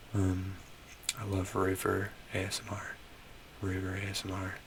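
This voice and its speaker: Noticeable background noise surrounds a soft-spoken man. His very deep, low voice stays monotone and flat. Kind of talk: ASMR soft-spoken rambling.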